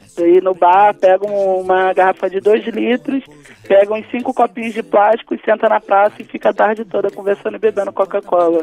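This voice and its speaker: Dry and close with no echo, a woman's dark, mellow voice moves at a fairly quick pace. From Rio de Janeiro, Brazil. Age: 20s. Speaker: state legislator. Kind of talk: interview.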